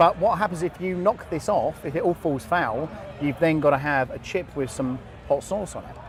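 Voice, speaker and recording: With a southern English accent, a man speaks at a moderate pace in a high pitch, his loudness swinging widely. Noticeable background noise is present. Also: ordinary pitch variation. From England. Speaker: podcast host interviewing guests at an event. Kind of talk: casual live interview. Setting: live event floor. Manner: animated, chatty.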